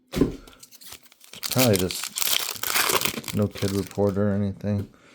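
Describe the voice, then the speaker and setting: There is noticeable background noise. A man speaks very slowly in a fairly low, monotone, flat voice. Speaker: sports card collector opening packs. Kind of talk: casual pack-opening commentary.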